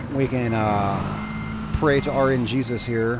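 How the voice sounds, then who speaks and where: A man speaks at a medium pitch with ordinary pitch variation. Noticeable background noise and audible room echo are present. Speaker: gaming YouTuber. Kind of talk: let's play commentary. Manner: casual, rambling with fillers; loud over engine noise.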